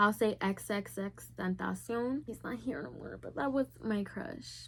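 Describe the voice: Speaking at a fairly slow pace, a woman has a fairly bright tone with vocal fry. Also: medium pitch for a woman, ordinary pitch variation.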